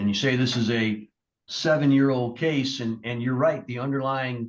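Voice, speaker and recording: This man speaks at moderate speed, his voice pitched in the middle range. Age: 60s. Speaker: judge. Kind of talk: courtroom sentencing. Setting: courtroom. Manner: measured, with frequent hesitations.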